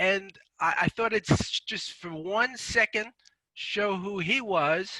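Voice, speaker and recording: A man with a high pitch and a bright, sharp tone talks at a very slow pace with ordinary pitch variation. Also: dry, close sound with no echo. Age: 70s. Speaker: author. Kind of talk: casual talk on a video call. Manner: halting.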